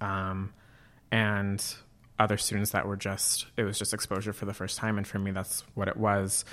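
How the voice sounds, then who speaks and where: A man with a Californian accent, fairly low in pitch, in a monotone, flat intonation at a moderate pace, on a very clean recording with a silent background. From Northern California (Auburn, foothills below Tahoe). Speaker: grad student and campus LGBTQ organizer. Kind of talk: casual interview. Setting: studio with a lamp.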